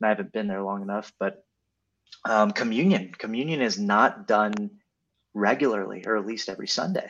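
In an ordinary speaking voice, a man speaks at a moderate pace with a fairly low pitch and fairly even intonation. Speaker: co-host.

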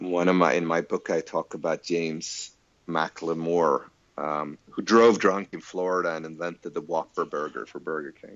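This man's voice sits very deep and low, and his intonation stays fairly even. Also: moderate pace, big swings in loudness. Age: 40s. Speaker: futurologist and author. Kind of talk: interview.

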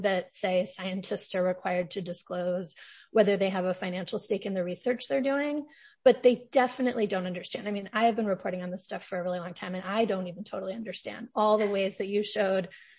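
A somewhat breathy woman at a very fast pace, medium pitch and ordinary pitch variation. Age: 40s. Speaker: podcast host, journalist.

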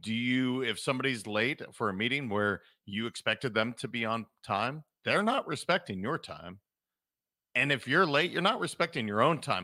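A man's medium-pitched voice with an American accent, bright and sharp in tone, lively in intonation, at a moderate pace, with a dry, close sound with no echo on a very clean recording against a silent background. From Montana. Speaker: leadership and performance coach. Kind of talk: casual interview chat. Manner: animated.

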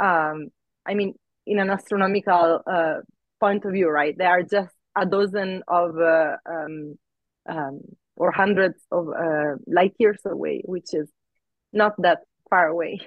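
Speaking with a non-native accent, a woman uses a medium pitch and fairly even intonation. Her speech has long, frequent pauses. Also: fairly slow pace. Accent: foreign-accented English. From outside the US. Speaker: astrophysicist. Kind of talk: interview. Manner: hesitant, filler-heavy.

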